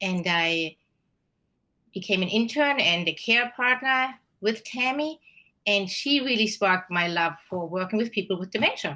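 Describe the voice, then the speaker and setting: A woman with a German accent speaks at a moderate pace and medium pitch, her tone bright and sharp. Her intonation is lively, and the recording is very clean with a silent background. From Germany. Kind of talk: interview.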